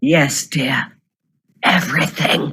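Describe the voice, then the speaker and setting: The speaker puts on a raspy character voice. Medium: stage play. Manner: regal, condescending, calls others dear.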